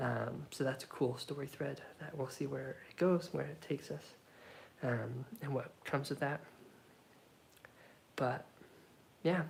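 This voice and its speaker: Soft-spoken delivery moves at a fairly slow pace, broken by long, frequent pauses. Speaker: solo tabletop game player. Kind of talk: narrated solo roleplay game.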